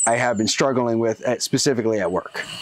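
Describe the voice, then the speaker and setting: Medium-pitched male speech in an American accent, fairly even in intonation, over noticeable background noise. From Seattle, Washington. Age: 30s. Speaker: mechanical engineer. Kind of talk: interview answer.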